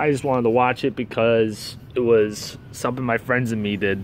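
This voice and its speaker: A man's angry voice at medium pitch, moderate in pace with fairly even intonation, dry with no echo over light background noise. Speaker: wrestling fan video reviewer. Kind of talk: angry rant review. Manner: angry, profane, venting; rambling, disfluent, stumbling. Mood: annoyed, ranting. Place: street. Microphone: phone near.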